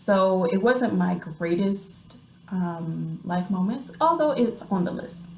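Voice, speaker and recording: A woman in an American accent at a very slow pace, lively intonation, audible room echo and noticeable background noise. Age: 30s. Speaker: vlogger and writer. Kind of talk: casual vlog monologue. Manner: hesitant, many fillers.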